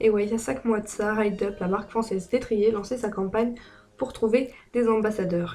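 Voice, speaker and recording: A woman talks at a moderate pace in a fairly high pitch. Her intonation stays monotone and flat, with music playing behind her. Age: young. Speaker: horse rider, brand ambassador. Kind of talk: casual product review to camera.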